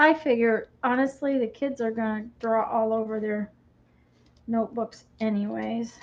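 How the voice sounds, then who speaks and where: A woman with an American accent, fairly high pitch and ordinary pitch variation. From Michigan. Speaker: crafter and video host. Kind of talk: casual live-stream chat. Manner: halting, with many fillers.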